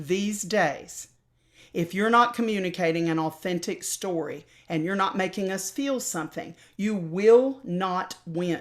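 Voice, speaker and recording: With an American accent, a woman speaks at a fairly slow pace and with lively intonation. The recording is very clean, with a silent background. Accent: slight Southern, mostly dropped. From US South. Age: old. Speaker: opera singer and voice teacher. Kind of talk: interview.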